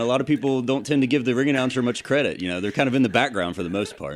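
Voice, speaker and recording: A man at medium pitch with lively intonation, at a very fast pace. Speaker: ring announcer. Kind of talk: interview answer.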